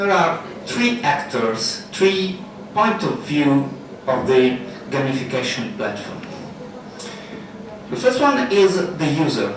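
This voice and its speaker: Amid audible room echo and noticeable background noise, a man with a high voice speaks very slowly with long, frequent pauses and very wide pitch swings. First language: Italian. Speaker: software developer, conference speaker. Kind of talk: conference talk. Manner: halting.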